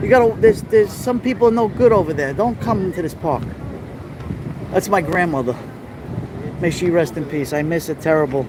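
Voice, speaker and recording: Over noticeable background noise, a man with a high pitch talks at a fairly quick pace with lively intonation and long, frequent pauses. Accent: American. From New York City, Little Italy. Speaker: live-streaming vlogger. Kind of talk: live stream walking tour. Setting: outdoors at street festival. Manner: animated.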